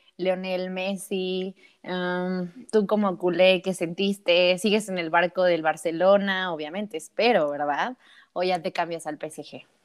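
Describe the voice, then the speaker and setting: At a fairly slow pace, someone with a Mexican accent talks on a very clean recording with a silent background. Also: woman, medium pitch for a woman. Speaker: sports podcast co-host. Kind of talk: casual chat. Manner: animated.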